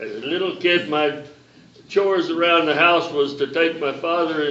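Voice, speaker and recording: A man speaks at a moderate pace with a fairly high pitch and fairly even intonation. There is noticeable background noise and audible room echo. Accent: Southern US. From US South, South Carolina. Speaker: reunion attendee, former army brat. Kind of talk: reunion panel talk.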